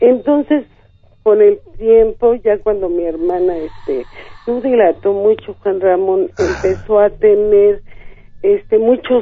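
A woman speaks at a very slow pace. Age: 50s. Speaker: caller. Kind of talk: phone-in storytelling. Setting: phone call.

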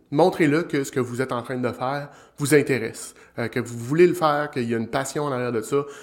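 A man with a Quebec accent talks at a very fast pace. His pitch is fairly high and his intonation fairly even. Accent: Québécois French. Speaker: business development strategist, show host. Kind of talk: live-streamed solo talk on sales. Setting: live stream on social platforms.

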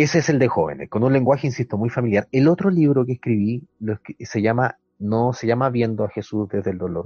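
A man's medium-pitched, somewhat breathy voice, fairly quick, with lively intonation. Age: 30s. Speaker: pastor and theologian. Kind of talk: casual chat.

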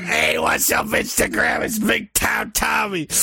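Putting on a character voice, a man speaks at a high pitch with a raspy sound. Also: fairly slow pace. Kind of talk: social media greeting, wrestling promo style. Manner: hyped, boastful, loud.

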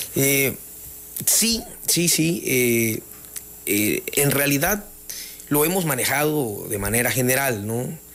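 A man with a fairly high voice speaks very slowly, his intonation lively. Noticeable background noise and audible room echo surround him. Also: very even loudness. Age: 40s. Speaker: mayor-elect, lawyer. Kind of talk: radio interview. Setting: studio.

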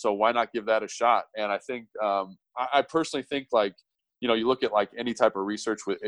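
A man with an American accent has an unremarkable speaking voice, fairly low in pitch, at a fairly quick pace. His intonation is fairly even, and the sound is dry and close with no echo. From US West Coast, Los Angeles. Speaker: former pro football player, strength coach. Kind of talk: casual interview chat.

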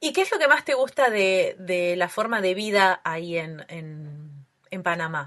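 A normal speaking voice at a fairly slow pace, with lively intonation and big swings in loudness. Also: woman, medium pitch for a woman. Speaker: podcast host. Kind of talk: casual interview.

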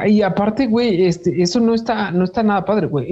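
A very fast pace runs over noticeable background noise. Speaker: podcast host. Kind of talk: casual chat.

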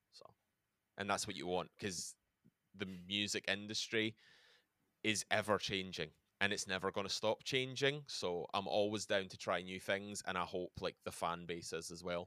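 Bright, sharp tone with a Glaswegian accent, ordinary pitch variation and a dry, close sound with no echo. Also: man, fairly low pitch for a man, moderate pace. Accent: Glaswegian Scottish. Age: 30s. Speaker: metal band musician. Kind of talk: casual interview.

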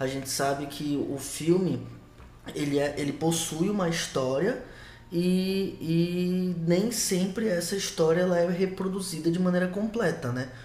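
Amid audible room echo, a high-pitched man talks at a fairly slow pace with ordinary pitch variation. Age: 20s. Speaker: podcast co-host, historian. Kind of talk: casual film discussion podcast. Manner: halting, many repetitions.

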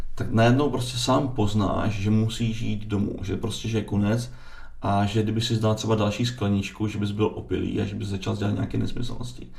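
A man speaks at a moderate pace with a fairly low pitch. Noticeable background noise and audible room echo are present. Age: 40s. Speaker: distiller. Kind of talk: casual interview. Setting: studio.

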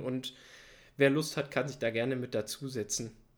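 The man has an ordinary speaking voice and talks at a fairly quick pace with fairly even intonation. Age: 20s. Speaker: biodiversity master's student and podcast co-host. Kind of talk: casual educational chat.

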